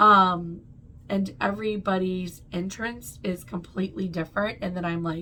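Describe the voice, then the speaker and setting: A woman's bright, sharp tone comes with ordinary pitch variation. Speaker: hypnotist and Akashic records reader. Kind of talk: explanatory vlog.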